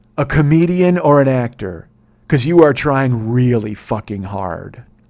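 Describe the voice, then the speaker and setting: Putting on a character voice, a man talks at a moderate pace in a raspy, medium-pitched voice with lively intonation. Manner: bitter, belligerent.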